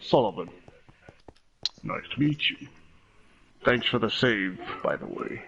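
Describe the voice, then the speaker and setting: A man puts on a character voice at a medium pitch. He keeps a moderate pace, broken by long, frequent pauses. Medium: actual play.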